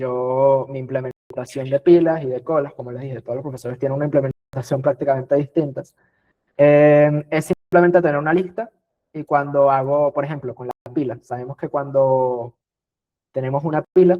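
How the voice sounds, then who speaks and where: A man with a plain, everyday voice speaks at a fairly high pitch, his intonation fairly even while his loudness swings widely. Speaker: teaching assistant / tutor. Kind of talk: exam review lecture.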